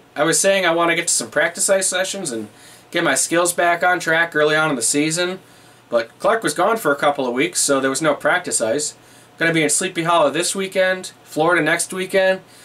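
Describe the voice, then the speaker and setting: Speaking at a fairly quick pace, a man uses a high voice with ordinary pitch variation. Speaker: vlogger. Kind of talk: casual vlog chat. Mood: wry, animated storytelling. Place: home room.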